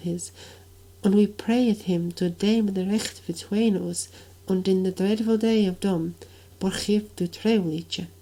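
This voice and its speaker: A woman speaks at a medium pitch in a dark, mellow tone with fairly even intonation. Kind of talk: Middle English reading of a medieval dialogue.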